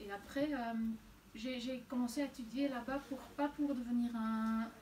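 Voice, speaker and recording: With a Flemish accent, a woman speaks in a high pitch at a fairly slow pace. Her intonation is monotone and flat. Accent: Flemish Dutch accent in French. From Flanders, Belgium (near Antwerp). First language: Dutch (speaking French). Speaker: novelist. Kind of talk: interview. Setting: bookshop event with audience. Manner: halting, many repetitions and hesitations.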